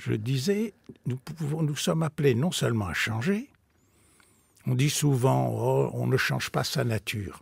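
Against a quiet background with dry sound and no echo, a man speaks at a very slow pace with long, frequent pauses. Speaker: spiritual teacher and author; spiritual teacher. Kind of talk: radio interview. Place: studio.

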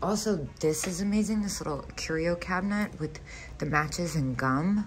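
A woman's voice comes through with faint music behind it. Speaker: vintage reseller. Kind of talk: casual vlog chat. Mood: excited, delighted. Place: shop. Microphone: phone near.

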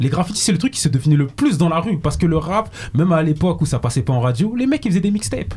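A man rattles along at a very fast pace with hardly any pauses, his fairly high voice taking very wide pitch swings at a very even loudness. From Paris region, southern suburbs (Seine-et-Marne). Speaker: podcast host. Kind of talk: casual chat. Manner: animated.

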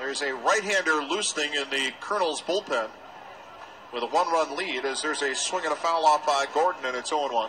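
A man's pitch varies in an ordinary way as noticeable noise fills the background. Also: fairly quick pace. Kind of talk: live baseball play-by-play commentary. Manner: fast, fluent play-by-play delivery, calling each pitch and count as it happens; lightly amused and conversational, joking about the umpire.

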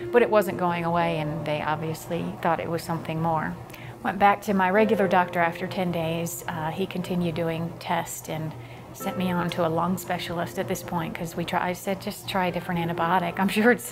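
Over clear background music, a woman with an American accent speaks fairly quickly at a fairly low pitch with fairly even intonation. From Virginia, USA. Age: 40s. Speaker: personal trainer and fitness instructor. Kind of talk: testimonial interview. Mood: calm, reflective, occasionally smiling.

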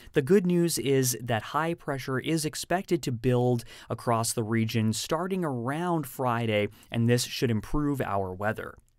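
A man talks at a fairly slow pace with lively intonation. The sound is dry with no echo, and the background is quiet. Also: medium pitch for a man. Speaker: weather forecaster. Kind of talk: weather report, upbeat scripted daily forecast read to camera. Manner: cheerful and friendly, folksy greetings to viewers; clear, steady delivery of figures in both units. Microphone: lapel.

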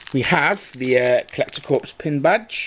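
There is noticeable background noise as a man speaks. His pitch is fairly high, with ordinary pitch variation. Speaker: YouTuber. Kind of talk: unboxing video. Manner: casual, chatty.

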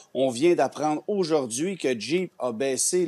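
Fairly slow in pace, a man speaks with lively intonation and a dark, mellow tone. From Quebec. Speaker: automotive journalist. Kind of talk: news interview. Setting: TV studio. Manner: halting. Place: home room. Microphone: earbuds.

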